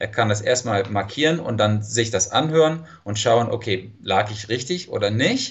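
At a moderate pace with hardly any pauses, a somewhat breathy voice with a slight non-native accent shows ordinary pitch variation. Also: man, medium pitch for a man. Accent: near-native German, slight. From California, US. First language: English (speaking German). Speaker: language teacher. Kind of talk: interview. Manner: hesitant, many fillers.

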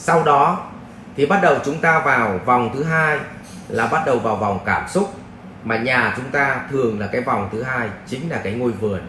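A man with a medium-pitched voice speaks at a fairly slow pace, his intonation lively. There is noticeable background noise and audible room echo. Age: 40s. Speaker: life coach and spiritual teacher. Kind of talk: Q&A lecture answering a viewer question. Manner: conversational, with rhetorical prompts to the audience.

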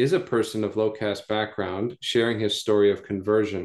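Against a quiet background, a man with a fairly low pitch talks at a moderate pace in a monotone with flat intonation. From US South (North Carolina). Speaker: pastor. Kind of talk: casual chat.

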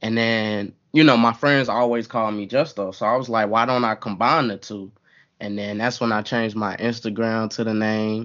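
A man's plain, everyday voice in an American accent, medium in pitch, at a moderate pace with fairly even intonation. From US South, Atlanta, Georgia. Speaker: gaming streamer and content creator. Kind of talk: casual chat.

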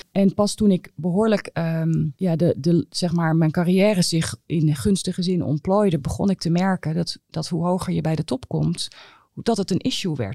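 The recording is very clean, with a silent background and a dry, close sound without echo. A woman speaks in a fairly low voice with a dark, mellow tone. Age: 50s. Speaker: internist and professor of medicine. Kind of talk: podcast interview.

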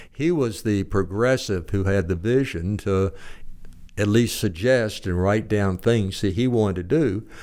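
In a Southern US accent, a man with fairly low pitch speaks at a fairly slow pace, with ordinary pitch variation and very even loudness. The recording is very clean, with a silent background and no other sound. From Arkansas (Little Rock), born in Texas. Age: old. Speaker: retired judge and author. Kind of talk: interview.

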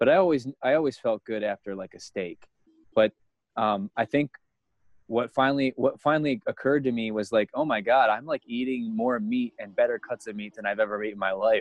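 Speaking at a fairly quick pace, a man has a plain, everyday voice of medium pitch with ordinary pitch variation. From United States. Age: 30s. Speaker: guest sharing diet experience. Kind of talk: casual interview.

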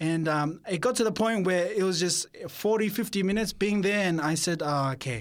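In an Australian accent, a man speaks at a high pitch with ordinary pitch variation. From Sydney, Australia. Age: 20s. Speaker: theology student. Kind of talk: interview testimony. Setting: studio. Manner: halting.

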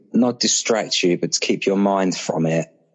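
With a British accent, this voice shows ordinary pitch variation. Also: man. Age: 30s. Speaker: father sharing miscarriage experience. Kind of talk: interview about personal loss. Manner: hesitant, with fillers.

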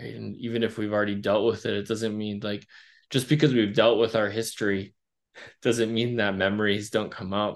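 An ordinary speaking voice from a man with an American accent, fairly low in pitch, at a fairly quick pace with fairly even intonation over a quiet background. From rural Wisconsin. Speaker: social worker and therapist. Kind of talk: interview.

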